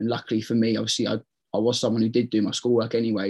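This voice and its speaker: A man with an East Anglian accent, medium pitch, monotone, flat intonation and a very fast pace. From eastern England, Ipswich. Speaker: professional footballer. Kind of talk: casual chat.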